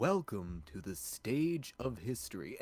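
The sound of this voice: Using a put-on character voice, a man booms at a medium pitch with very wide pitch swings and a fairly slow pace.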